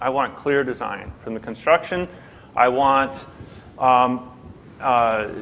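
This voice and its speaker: The speaker is a man. His pitch is medium. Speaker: airport BIM manager on a conference panel. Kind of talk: conference panel talk. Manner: loud.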